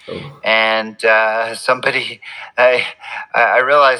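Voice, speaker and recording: Bright and sharp in tone, a man with a Canadian accent speaks at a medium pitch. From Quebec, Montreal. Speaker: physician and triathlon coach. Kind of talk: casual interview.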